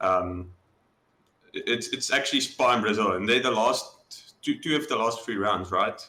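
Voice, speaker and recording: A man with a South African accent talks at a fairly slow pace. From South Africa, Johannesburg. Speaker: sim racing driver. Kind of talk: interview. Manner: casual, hesitant.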